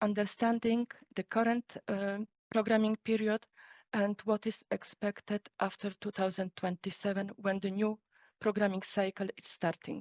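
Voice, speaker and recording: At a moderate pace and in a flat, monotone delivery, the speaker sounds dry and close with no echo against a quiet background. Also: woman. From Poland. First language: Polish. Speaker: EU policy official. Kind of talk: lecture.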